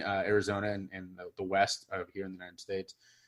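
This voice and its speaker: The voice carries a Midwestern accent. The recording is very clean, with a silent background. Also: man. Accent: General American (Midwest). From US Midwest, Cincinnati, Ohio. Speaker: public speaker and podcast host. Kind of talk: interview guest testimony.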